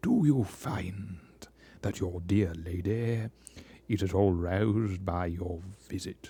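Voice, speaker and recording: In a quiet, put-on character voice, a man speaks at a fairly slow pace with a resonant, very deep, low pitch and fairly even intonation. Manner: muffled, hushed.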